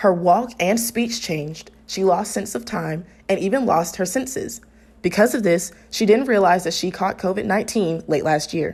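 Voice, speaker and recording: At a moderate pace, a woman with an ordinary speaking voice talks in a medium pitch with ordinary pitch variation. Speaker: TV news reporter. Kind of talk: TV news package narration. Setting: studio voiceover.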